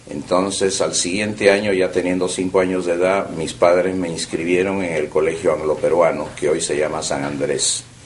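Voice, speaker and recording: Speech runs at a moderate pace with hardly any pauses. Room echo is audible and background noise is noticeable. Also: man, very deep, low pitch for a man. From Peru (Lima), born in Vienna. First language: German (speaking Spanish). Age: 70s. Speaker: oral history interviewee. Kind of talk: oral history interview. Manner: hesitant with frequent fillers.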